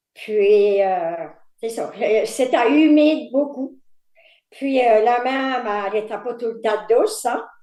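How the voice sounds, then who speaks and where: Amid audible room echo, a woman with a fairly high pitch and a dark, mellow tone speaks at a very slow pace. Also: ordinary pitch variation. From Quebec, Îles-de-la-Madeleine. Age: 70s. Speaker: fisherman's wife and retired factory worker. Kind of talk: life story interview. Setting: video call.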